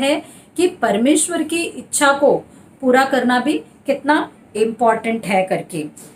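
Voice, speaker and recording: Her intonation moves in a lively way. The woman's voice is high in pitch. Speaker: church preacher. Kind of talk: church sermon. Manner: conversational, Hindi mixed with English words.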